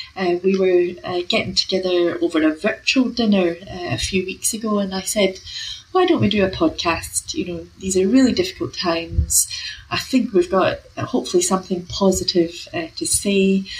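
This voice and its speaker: A woman speaks at a moderate pace. Noticeable background noise sits under her voice. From UK. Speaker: professor of health equity. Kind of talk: interview. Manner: hesitant, filler words.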